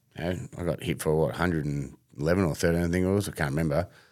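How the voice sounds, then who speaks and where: A man speaks with a very deep, low voice and an Australian accent. His intonation is fairly even, and the recording is very clean with a silent background. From Melbourne, Australia. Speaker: former fast bowler and bowling coach. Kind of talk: casual interview.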